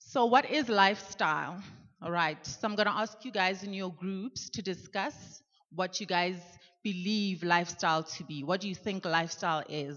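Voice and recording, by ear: A woman speaks at a moderate pace in a fairly bright tone. Her pitch moves in an ordinary way. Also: fairly low pitch for a woman, few pauses.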